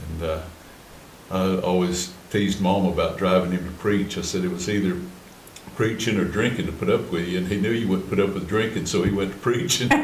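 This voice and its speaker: In an Appalachian accent, a man with a very deep, low voice talks at a fairly quick pace in a monotone, flat intonation, with audible room echo and noticeable background noise. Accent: Appalachian Southern US. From western North Carolina, Cherokee. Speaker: Cherokee artist and storyteller. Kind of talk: interview. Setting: museum.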